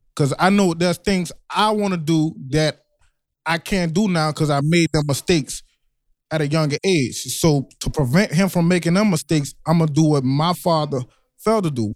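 At a moderate pace, a man with a fairly high pitch speaks in a normal speaking voice with ordinary pitch variation and very even loudness, in a very clean recording with a silent background. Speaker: guest, father and youth athlete trainer. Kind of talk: casual conversation.

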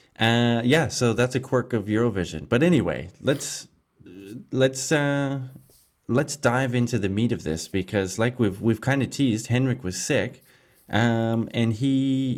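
On a very clean recording with a silent background, a man speaks in a plain, everyday voice at a medium pitch and a fairly slow pace. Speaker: podcast co-host. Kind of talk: casual chat.

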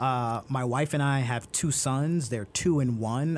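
A man speaks with a New York accent. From Brooklyn, New York. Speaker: transportation expert. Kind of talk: interview.

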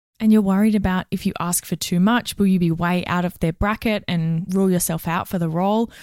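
A woman with an Australian accent, medium in pitch, at a fairly quick pace with hardly any pauses and fairly even intonation. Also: very clean recording, silent background. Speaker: HR and recruitment professional, podcast co-host. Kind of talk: casual advice chat.

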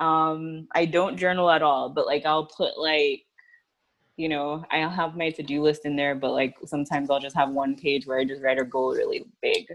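Speaking at a moderate pace with an American accent, the woman has a very deep, low pitch and fairly even intonation. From Miami, Florida. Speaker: PR agency owner. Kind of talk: casual chat.

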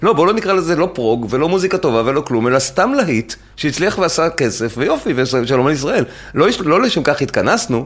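A man with a fairly high voice talks at a fairly quick pace, his pitch swinging very widely while his loudness stays very even. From Israel. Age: 50s. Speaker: podcast host. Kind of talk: casual chat; reading aloud.

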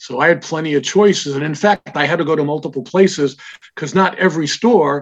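A man with an unremarkable speaking voice, fairly high pitch and ordinary pitch variation. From Israel, raised in New York. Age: 60s. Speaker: comic shop founder. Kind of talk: interview conversation.

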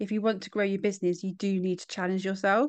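Someone speaks very fast with a British accent. The background is quiet. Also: woman. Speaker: podcast host. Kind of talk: casual interview chat.

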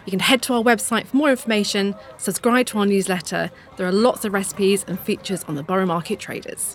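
Over noticeable background noise, a woman speaks very fast at medium pitch with ordinary pitch variation. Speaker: podcast host. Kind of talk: casual interview chat; scripted intro and outro.

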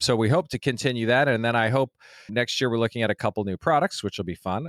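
A man with an American accent talks at a fairly quick pace in an unremarkable speaking voice, with ordinary pitch variation and a dry, close sound with no echo. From Colorado, US. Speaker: brewery founder. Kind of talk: interview.

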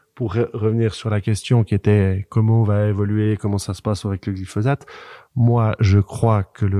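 Dry and close with no echo against a quiet background, a man speaks at a moderate pace with a fairly low pitch, a dark, mellow tone and fairly even intonation. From French-speaking Switzerland. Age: 40s. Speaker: farmer and agronomist. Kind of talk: casual discussion.

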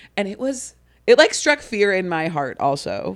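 An animated woman with a Midwestern American accent, on a very clean recording with a silent background. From US Midwest (Ohio). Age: 30s. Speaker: comedian and graphic designer. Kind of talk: casual chat.

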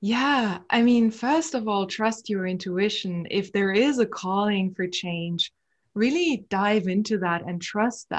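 A woman's somewhat breathy voice, medium in pitch with ordinary pitch variation, at a very slow pace over a quiet background. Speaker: psychotherapist. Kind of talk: casual interview.

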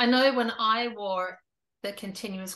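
Against a quiet background, a woman speaks with an Australian accent at a fairly slow pace. Her tone is bright and sharp, her intonation fairly even. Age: 50s. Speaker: YouTube interviewer. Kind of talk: interview.

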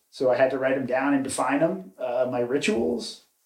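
He has a plain, everyday voice at a fairly high pitch. His pace is moderate, with ordinary pitch variation. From North Carolina (Cary/Raleigh area), born in New York. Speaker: commercial real estate tech worker. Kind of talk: casual interview chat.

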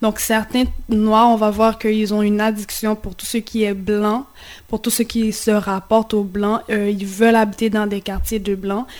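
At a fairly slow pace, a woman speaks in a fairly high, monotone voice with flat intonation. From Haiti. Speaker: community radio host. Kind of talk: radio discussion. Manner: halting.

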